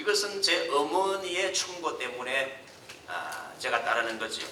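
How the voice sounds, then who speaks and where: Over noticeable background noise and audible room echo, a man speaks at a fairly slow pace with ordinary pitch variation. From South Korea. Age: 70s. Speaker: pastor. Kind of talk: sermon.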